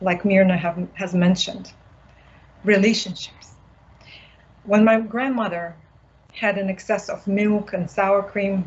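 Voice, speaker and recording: Somewhat breathy and monotone with flat intonation, a woman at medium pitch speaks at a fairly slow pace, leaving long, frequent pauses. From Siberia, Buryat community. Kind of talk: panel discussion.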